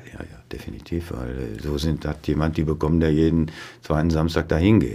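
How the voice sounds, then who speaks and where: A man speaks with a very deep, low pitch and a dark, mellow tone, with vocal fry. His pace is moderate and his pitch varies in an ordinary way. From Westphalia, near Dortmund (Ruhr edge). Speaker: neurologist, chief physician. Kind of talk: casual interview.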